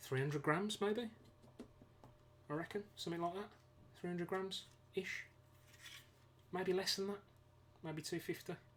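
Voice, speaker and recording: The speaker talks with a British accent at a moderate pace. Long pauses come often. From UK. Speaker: DIY ebike builder streaming a build. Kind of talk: live stream tutorial. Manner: casual, hesitant with many fillers.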